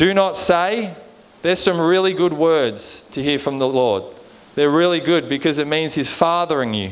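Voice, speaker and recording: With an Australian accent, a man speaks at a moderate pace in a fairly high pitch with lively intonation. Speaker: preacher. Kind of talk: sermon. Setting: church. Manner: informal, joking.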